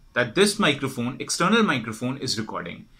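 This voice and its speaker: In a quiet background, a man's bright, sharp voice makes very wide pitch swings. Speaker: product support demonstrator. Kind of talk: tutorial. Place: home room.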